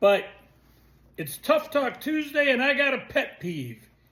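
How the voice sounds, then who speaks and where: A man talks at a fairly slow pace with lively intonation. Noticeable background noise runs under his voice. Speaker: video blogger. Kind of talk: casual vlog rant.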